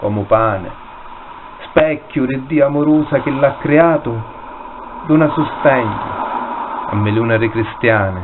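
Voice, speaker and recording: Against noticeable background noise, a man talks at a very slow pace with medium pitch and ordinary pitch variation. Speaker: poet reading own work. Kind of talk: poetry reading.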